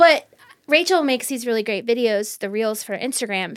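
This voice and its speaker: Lively intonation marks a woman's fairly high, plain, everyday voice. She moves at a fairly quick pace on a very clean recording with a silent background. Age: 40s. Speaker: podcast co-host. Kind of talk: casual chat.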